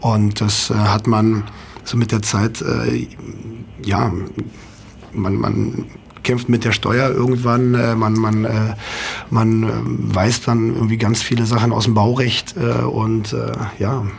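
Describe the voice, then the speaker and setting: Spoken at a very slow pace with long, frequent pauses, the voice stays monotone and flat at a very even loudness, with noticeable background noise and audible room echo. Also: man, medium pitch for a man. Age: 30s. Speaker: nightclub operator. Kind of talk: radio interview. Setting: radio studio.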